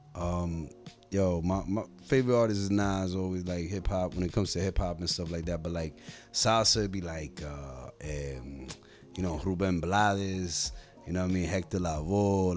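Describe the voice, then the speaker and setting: Faint music plays behind a man whose very deep, low voice keeps a fairly even intonation. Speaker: guest. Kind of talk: interview answer. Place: studio. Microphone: studio mic.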